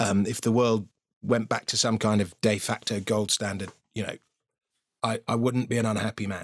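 A man with a British accent at medium pitch and moderate pace, in a dry, close sound with no echo, on a very clean recording with a silent background. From Britain. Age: 50s. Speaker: financial writer and comedian. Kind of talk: casual interview chat.

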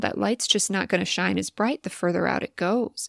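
In a very clean recording with a silent background and a dry, close sound with no echo, a woman speaks at a fairly quick pace. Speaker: podcast host and content creator. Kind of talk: solo podcast monologue, reflective and conversational. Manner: fast talker at times.

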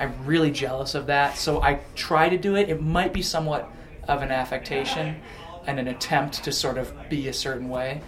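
The man's voice is fairly high and his intonation fairly even. He talks at a moderate speed with noticeable noise in the background. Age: 20s. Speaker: rock band singer. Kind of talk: casual chat. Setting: backstage at a concert venue. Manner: soft-spoken.

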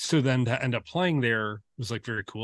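A man with an American accent and a normal speaking voice talks at a moderate pace and medium pitch with ordinary pitch variation, with a dry, close sound with no echo and a quiet background. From US Midwest, Detroit suburbs. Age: 40s. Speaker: photographer. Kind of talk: casual chat.

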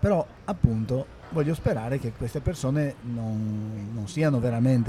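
A man speaks at a fairly slow pace in a medium-pitched, somewhat breathy voice with a dark, mellow tone. His pitch variation is ordinary. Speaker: podcast host. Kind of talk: casual discussion.

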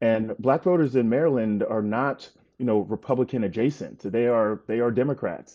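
A man with an American accent and an ordinary speaking voice talks at a moderate pace and medium pitch with ordinary pitch variation. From North Carolina. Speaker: political writer. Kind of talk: casual chat.

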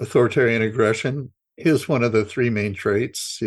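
A man with an American accent talks at a moderate pace and medium pitch. He has a plain, everyday voice, heard against a quiet background. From Idaho. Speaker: journalist and author. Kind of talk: interview.

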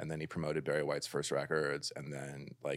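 There is vocal fry in this man's voice, recorded very cleanly with a silent background. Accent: American. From Los Angeles, California. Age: 50s. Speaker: musician. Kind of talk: casual chat.

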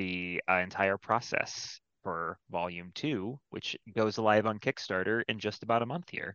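A man with a normal speaking voice, fairly low in pitch, talks at a moderate pace with ordinary pitch variation. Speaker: comic anthology editor. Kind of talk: casual chat. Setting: video call.

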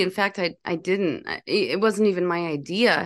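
Against a quiet background, a woman talks in a normal speaking voice at a medium pitch with ordinary pitch variation. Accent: American. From Minnesota, US Midwest. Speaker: chef and cookbook author. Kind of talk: casual interview.

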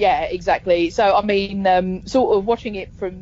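Noticeable background noise sits behind a woman speaking with a London accent. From London, England. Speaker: podcaster. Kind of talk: casual chat.

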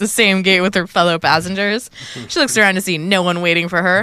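A natural reading voice keeps its intonation fairly even throughout.

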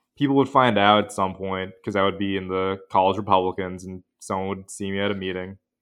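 Pauses barely occur. The delivery is fairly quick. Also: man, fairly low pitch for a man, fairly even intonation. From US Pacific Northwest, Western Washington. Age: 20s. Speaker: law student. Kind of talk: interview.

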